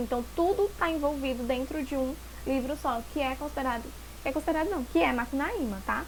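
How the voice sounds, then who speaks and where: Amid audible room echo, a woman speaks in an animated tone at a high pitch with ordinary pitch variation. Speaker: teacher. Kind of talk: lecture. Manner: fast.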